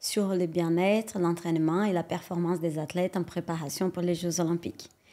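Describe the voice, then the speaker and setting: A woman speaks in a Brazilian accent at a fairly low pitch with a dark, mellow tone. The recording is very clean, with a silent background. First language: Portuguese (speaking French). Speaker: sports science researcher. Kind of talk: podcast interview.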